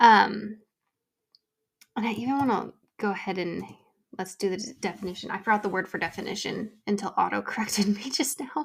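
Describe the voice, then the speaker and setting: A woman with medium pitch and vocal fry talks at a fairly quick pace, using ordinary pitch variation and long, frequent pauses. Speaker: podcast host. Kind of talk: casual chat. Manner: casual, filler-heavy.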